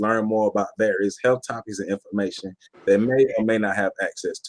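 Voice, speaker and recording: A man's unremarkable speaking voice, medium in pitch and fairly quick, in a dry, close sound with no echo. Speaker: podcast host. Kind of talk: podcast intro. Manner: upbeat.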